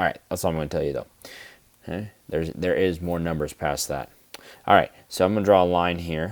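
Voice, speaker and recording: This man's voice is very deep and low, with ordinary pitch variation. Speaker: math teacher. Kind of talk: tutorial. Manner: fast.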